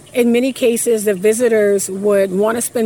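At a moderate pace, a woman speaks with medium pitch and fairly even intonation against noticeable background noise. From Louisiana. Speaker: museum representative. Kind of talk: interview.

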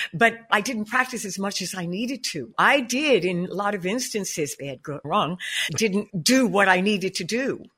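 A woman talks at a moderate pace with a medium pitch and an animated, bubbly tone that is also bright and sharp. Her intonation is lively and her loudness swings widely. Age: 70s. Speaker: jazz singer and vocal coach. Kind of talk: casual interview.

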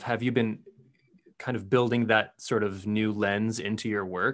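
Over a quiet background, a man with an American accent has an unremarkable speaking voice, fairly low pitch, fairly even intonation, and a moderate pace. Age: 20s. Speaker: podcast host and English teacher. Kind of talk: interview.

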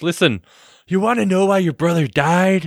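Put on as a character, this man's voice is high-pitched, strained and guttural at a moderate pace. The recording is very clean, with a silent background. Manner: strained, throaty put-on accent.

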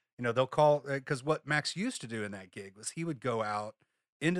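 In a very clean recording with a silent background, a man with an ordinary speaking voice talks at a fairly quick pace with ordinary pitch variation, the sound dry and close with no echo. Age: 40s. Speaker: guitarist and sideman. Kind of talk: interview.

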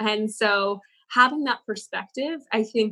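A woman in a plain, everyday voice talks at a fairly slow pace with a fairly high pitch and fairly even intonation. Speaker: former Google change-maker and yoga teacher. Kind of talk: interview discussing personal growth.

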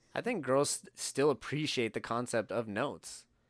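A man with a plain, everyday voice, medium pitch and ordinary pitch variation, in a very clean recording with a silent background. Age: 30s. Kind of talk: casual chat. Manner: casual, joking.

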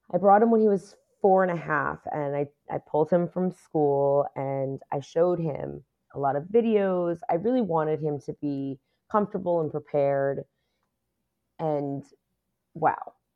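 The speaker has an American accent and a fairly slow pace. Long, frequent pauses break up the speech, and the pitch varies in an ordinary way. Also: woman, very deep, low pitch for a woman. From New York City, Queens. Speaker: Disney fan and Instagram creator. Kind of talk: casual chat.

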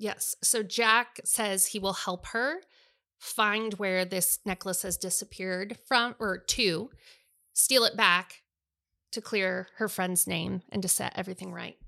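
Loud and very slow, a woman speaks at medium pitch with a bright, sharp tone and fairly even intonation. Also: very clean recording, silent background. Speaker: podcast host and bookstore co-owner. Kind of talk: casual chat about books.

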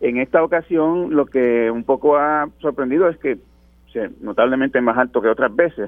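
Speaking at a fairly high pitch and a moderate pace, a man uses ordinary pitch variation with hardly any pauses. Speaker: journalist. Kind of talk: radio interview. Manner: halting, repeats words.

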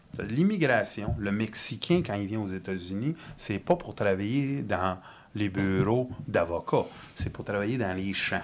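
Speaking with a Quebec accent, this voice moves at a very slow pace with lively intonation. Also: man, fairly low pitch for a man. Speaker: whistleblower and industrial mechanic. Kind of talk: casual chat.

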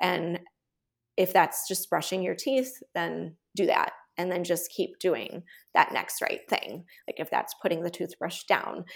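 In a Chicago accent, a woman talks at a fairly slow pace. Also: very clean recording, silent background. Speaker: nurse practitioner and writer. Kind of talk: interview.

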